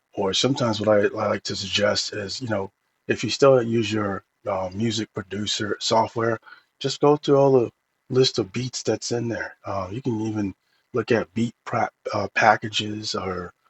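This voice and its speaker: Somewhat breathy, a man speaks at a medium pitch. His pace is moderate and his intonation fairly even. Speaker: tech reviewer, AI music tools. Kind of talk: casual tutorial review. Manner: halting, many fillers.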